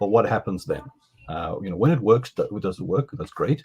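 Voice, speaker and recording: A man speaks at a fairly quick pace with a somewhat breathy voice. His pitch swings very widely. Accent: South African. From South Africa. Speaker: digital marketing consultant. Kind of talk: masterclass interview. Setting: video call. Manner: halting.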